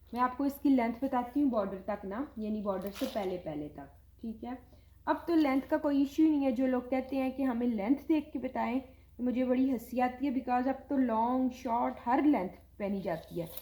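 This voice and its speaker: A woman talks loudly at a high pitch and a moderate pace, with ordinary pitch variation. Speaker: online clothing seller. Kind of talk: sales pitch. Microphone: viewers say audio too quiet.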